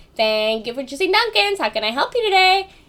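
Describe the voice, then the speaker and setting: A put-on character voice, high-pitched and fairly quick, with very wide pitch swings. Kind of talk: customer service voice. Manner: polite, upbeat.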